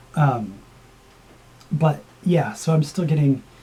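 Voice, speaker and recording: A woman talks in a very deep, low pitch with ordinary pitch variation. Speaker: vlogger. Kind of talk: casual vlog update. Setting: home video recording. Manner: hesitant, many fillers.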